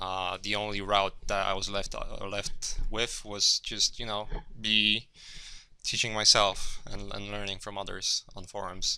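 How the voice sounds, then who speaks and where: A man with a Polish accent at a fairly slow pace. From Poland, Gdynia. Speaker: concept artist. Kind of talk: workshop lecture. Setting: classroom with audience. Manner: halting, many fillers and repeats.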